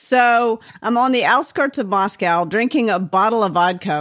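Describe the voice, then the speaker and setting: With an ordinary speaking voice and an American accent, a woman talks at a moderate pace with lively intonation over a quiet background. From US South. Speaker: author and management coach. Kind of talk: interview.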